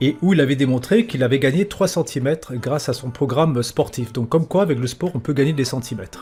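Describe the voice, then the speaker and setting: Music plays behind a man with a fairly high pitch who speaks at a fairly quick pace with hardly any pauses. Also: ordinary pitch variation. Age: 50s. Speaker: podcast host. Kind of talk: interview. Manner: casual, joking.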